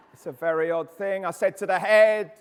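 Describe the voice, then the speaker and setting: A man with an English accent, speaking at a moderate pace. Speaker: behaviour specialist and education speaker. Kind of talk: conference talk. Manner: animated; loud.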